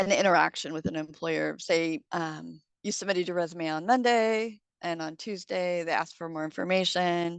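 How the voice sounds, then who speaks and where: Against a quiet background, a woman speaks in a fairly low pitch with ordinary pitch variation. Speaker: unemployment insurance presenter. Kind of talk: informational presentation. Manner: fast.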